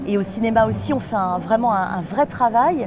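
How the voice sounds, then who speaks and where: Lively intonation marks a woman's fairly high voice. Noticeable background noise is present. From western France, Nantes. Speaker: voice actress. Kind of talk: interview. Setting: film festival.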